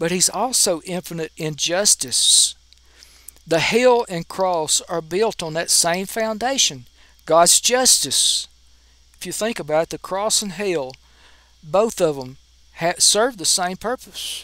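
Projecting his voice, a man talks very slowly in a high pitch, his tone bright and sharp and his intonation lively. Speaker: preacher. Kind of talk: sermon.

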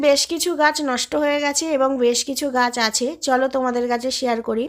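A high-pitched woman on a very clean recording, the background silent. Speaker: gardening YouTuber. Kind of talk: tutorial. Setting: outdoors.

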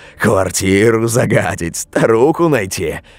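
Very slow and full of vocal fry, a man's fairly low voice moves through very wide pitch swings. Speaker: audiobook narrator of scary stories. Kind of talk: scripted horror story narration, reading aloud. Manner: hushed, eerie, slow and tense, building dread; shifts between voices: hoarse old witch, frightened young man.

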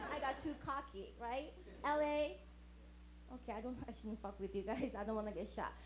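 A woman with a Japanese accent, lively intonation and a moderate pace, over light background noise. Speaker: stand-up comedian. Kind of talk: stand-up. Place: stage. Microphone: handheld.

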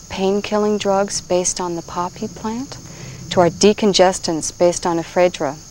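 Over light background noise, a woman speaks at a moderate pace with ordinary pitch variation, the sound dry with no echo. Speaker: herbal teacher. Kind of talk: instructional presentation. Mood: calm, gentle. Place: forest.

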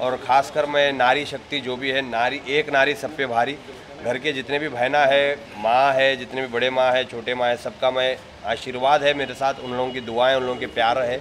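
Intonation stays monotone and flat at a moderate pace, with light background noise. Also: man. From Hyderabad, India. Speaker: reality show contestant. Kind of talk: interview answer. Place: hall. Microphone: handheld.

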